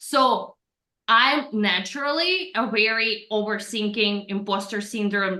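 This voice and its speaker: There is audible room echo as a woman speaks at a medium pitch. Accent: Russian. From Russia. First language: Russian. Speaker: personal branding coach. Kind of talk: podcast interview.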